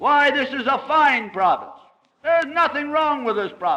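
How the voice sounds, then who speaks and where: A man talks at a fairly slow pace in a raised, projected voice. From Scotland. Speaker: politician. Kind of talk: anecdote told in a speech.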